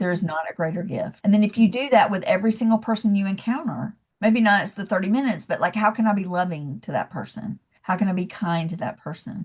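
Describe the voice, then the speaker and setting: Very fast and somewhat breathy, a woman with a Southern US accent talks in an animated tone with lively intonation. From US South, Georgia (Athens). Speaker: leadership coach. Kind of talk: podcast interview.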